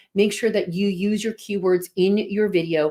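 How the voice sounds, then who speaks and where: A woman with an East Coast US accent speaks at a medium pitch with ordinary pitch variation. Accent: regional East Coast. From New Jersey.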